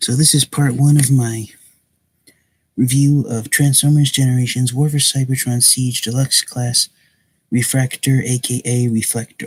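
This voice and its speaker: Somewhat breathy and monotone, a man speaks with flat intonation in a dry, close sound with no echo. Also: medium pitch for a man, moderate pace. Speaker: toy reviewer. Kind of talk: product review. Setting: live stream at home at night. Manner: soft-spoken.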